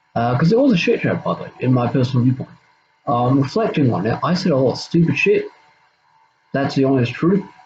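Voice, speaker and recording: With music in the background, a man with a fairly high pitch and lively intonation talks at a very fast pace, broken by long, frequent pauses. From Australia. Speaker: YouTuber. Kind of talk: casual monologue, drama response video. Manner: halting, many fillers and repeats.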